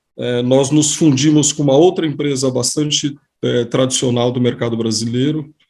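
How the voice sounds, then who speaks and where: A man at medium pitch with a plain, everyday voice, a moderate pace and fairly even intonation. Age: 50s. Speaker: economist. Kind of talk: casual chat. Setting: video call.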